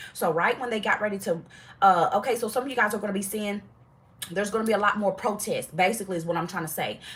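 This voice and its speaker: Speaking at a very fast pace in a medium pitch, a woman sounds animated against noticeable background noise. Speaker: tarot reader. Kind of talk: live tarot reading. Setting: livestream.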